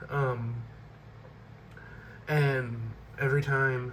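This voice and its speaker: The voice has a monotone, flat intonation, and audible room echo surrounds it. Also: man. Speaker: book collection video creator. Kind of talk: casual vlog showing collection. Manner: hesitant, many fillers.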